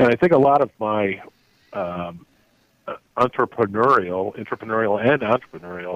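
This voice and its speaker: At a moderate pace, a man talks with a fairly low pitch. His pitch varies in an ordinary way. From US Midwest (South Bend, Indiana). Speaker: automotive executive. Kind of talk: interview.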